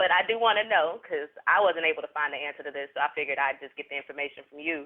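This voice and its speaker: A man with a Southern US accent talks at a very fast pace with big swings in loudness. His fairly high pitch shows ordinary variation. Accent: Southern US country. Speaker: interviewer. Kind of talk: interview.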